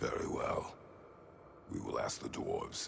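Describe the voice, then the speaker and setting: Over clear background noise, a man uses a put-on character voice at a moderate pace. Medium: video game. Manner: terse, blunt.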